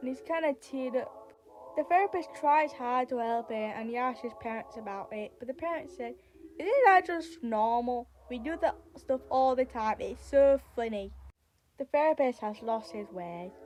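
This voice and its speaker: A high-pitched woman at a moderate pace, her intonation lively. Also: big swings in loudness. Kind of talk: creepypasta story narration. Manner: casual, halting.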